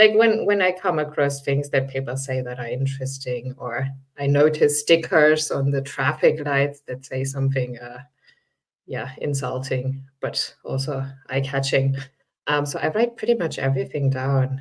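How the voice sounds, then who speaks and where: Delivery proceeds at a moderate pace. A non-native accent is audible. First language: not English. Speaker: writer. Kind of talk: panel discussion. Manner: casual, hesitant fillers.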